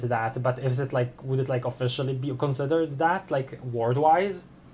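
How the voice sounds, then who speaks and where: Over a quiet background, the speaker talks with a non-native accent at a moderate pace. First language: not English. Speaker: gaming streamer. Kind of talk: casual chat. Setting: live stream. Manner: halting.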